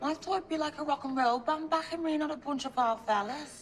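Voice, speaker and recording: A woman talks at a fairly quick pace in a Liverpool accent, her pitch high with ordinary variation, over noticeable background noise. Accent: Liverpudlian. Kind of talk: casual, common.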